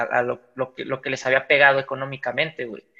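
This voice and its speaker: A man's fairly high voice with a bright, sharp tone and a Mexican accent. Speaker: podcast host. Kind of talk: casual chat.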